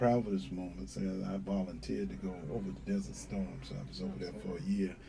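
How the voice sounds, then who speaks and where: A man with an American accent and a very deep, low pitch talks at a fairly quick pace with hardly any pauses and very wide pitch swings, with noticeable background noise and audible room echo. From North Carolina (Wilmington). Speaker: sheriff candidate, police officer. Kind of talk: interview.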